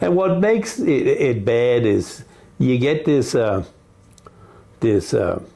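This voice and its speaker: A man at medium pitch with very wide pitch swings, very even loudness, a very slow pace, long, frequent pauses and noticeable background noise. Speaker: seafood business owner. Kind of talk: casual interview.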